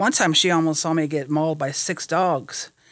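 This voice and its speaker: This woman has a plain, everyday voice with an American accent, fairly low in pitch with ordinary pitch variation, at a moderate pace. The recording is very clean, with a silent background. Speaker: process server. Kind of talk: casual interview chat.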